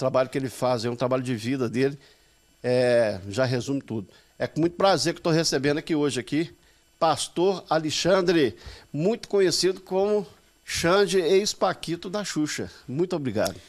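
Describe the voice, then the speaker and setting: With lively intonation, a man speaks in an ordinary speaking voice at a fairly high pitch. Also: moderate pace. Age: 50s. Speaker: podcast host. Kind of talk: casual interview chat.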